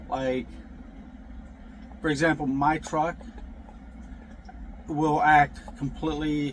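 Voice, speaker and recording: Amid noticeable background noise, a man with a fairly high pitch speaks at a fairly slow pace. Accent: American. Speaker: truck driver vlogger. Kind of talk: casual vlog monologue. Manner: halting, many fillers and restarts.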